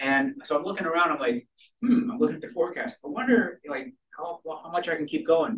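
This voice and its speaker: Talking at a fairly quick pace, a man with an American accent uses a high voice with very wide pitch swings. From Massachusetts (Attleboro). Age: 50s. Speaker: amateur astronomer and speaker. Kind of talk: lecture. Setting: stage with audience.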